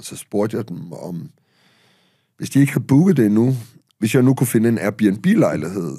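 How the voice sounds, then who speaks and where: A man's fairly low, dark, mellow voice at a moderate pace, set against a quiet background. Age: 50s. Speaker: author and public speaker; podcast guest, speaker. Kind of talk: casual chat. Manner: halting. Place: studio. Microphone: studio mic.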